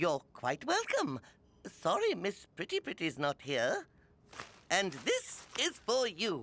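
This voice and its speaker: A cartoonish character voice talks at a fairly slow pace. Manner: bubbly, excited.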